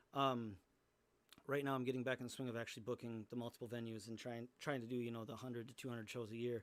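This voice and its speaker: Very fast and flat, a man talks in a monotone. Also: medium pitch for a man. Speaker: musician; music teacher. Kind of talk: casual chat. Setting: live stream. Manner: halting.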